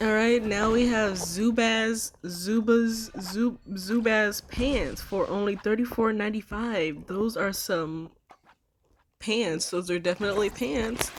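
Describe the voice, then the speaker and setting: A woman at a very slow pace, fairly high in pitch with ordinary pitch variation. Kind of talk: reading reviews aloud with commentary. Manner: stuttering, stumbling over words.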